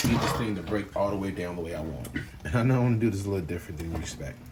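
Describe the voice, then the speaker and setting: A man's very deep, low pitch and lively intonation at a very fast pace, with audible room echo and noticeable background noise. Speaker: home cook. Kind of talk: cooking tutorial. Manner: casual.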